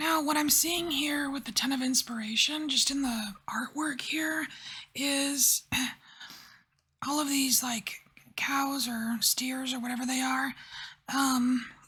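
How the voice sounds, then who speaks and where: Whispering, soft-spoken speech at a very slow pace, with long, frequent pauses. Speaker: tarot reader. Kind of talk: tarot reading.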